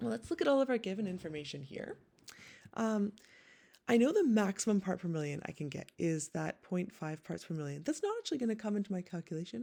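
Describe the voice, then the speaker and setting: A woman with a Canadian accent speaks at a very fast pace. Her pitch swings very widely. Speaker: teacher. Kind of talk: tutorial.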